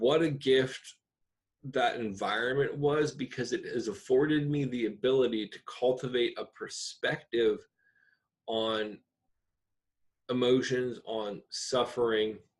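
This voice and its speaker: A man with a medium-pitched voice speaks at a fairly slow pace, his intonation fairly even and broken by long, frequent pauses. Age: 30s. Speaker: podcast host. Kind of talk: reflective monologue. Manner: casual with frequent fillers.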